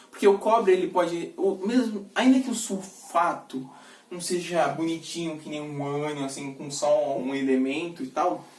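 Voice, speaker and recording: Noticeable background noise accompanies speech delivered at a moderate tempo. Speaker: student tutor reviewing school material. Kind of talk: lecture. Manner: casual, with fillers and self-corrections.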